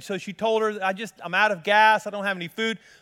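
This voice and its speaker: Speaking at a fairly quick pace, a man with an American accent has a high pitch. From Colorado. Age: 50s. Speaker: pastor. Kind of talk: sermon.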